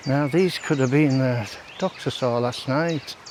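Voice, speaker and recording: A man speaks at a fairly slow pace with medium pitch and ordinary pitch variation, over noticeable background noise. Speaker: walking vlogger. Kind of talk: casual walking vlog commentary. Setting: outdoors.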